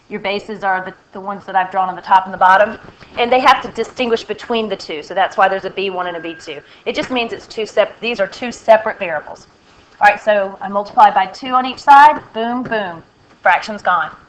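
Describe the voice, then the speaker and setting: The voice moves at a fairly quick pace with ordinary pitch variation and big swings in loudness. Noticeable background noise runs underneath. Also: woman, medium pitch for a woman. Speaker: math teacher. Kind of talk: recorded lesson tutorial. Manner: halting.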